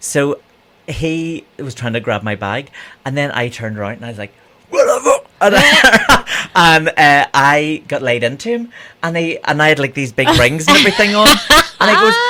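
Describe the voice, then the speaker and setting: With a Northern Irish accent, a man speaks at a fairly high pitch in a bright, sharp tone. His pitch swings very widely and his loudness rises and falls sharply. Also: moderate pace. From Northern Ireland, Bangor (Co. Down). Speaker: drag queen and broadcaster. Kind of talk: casual chat.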